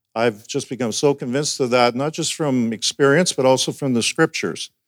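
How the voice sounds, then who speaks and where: A man with a normal speaking voice, medium pitch, ordinary pitch variation and a moderate pace, in a very clean recording with a silent background. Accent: Canadian. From Alberta, Canada. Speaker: pastor, denominational superintendent. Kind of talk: sermon.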